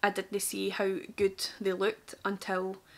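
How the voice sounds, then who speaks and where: On a very clean recording with a silent background, a woman speaks in a strong Glaswegian accent. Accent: thick Glaswegian. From Scotland, Glasgow. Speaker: makeup artist. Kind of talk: tutorial and story time. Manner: casual, chatty.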